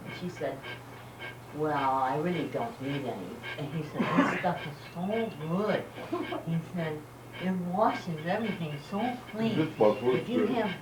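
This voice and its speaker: A woman's fairly low voice, fairly slow with long, frequent pauses and very wide pitch swings, over noticeable background noise. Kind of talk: joke telling to family. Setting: outdoors, home video. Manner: warm, fun, with laughter.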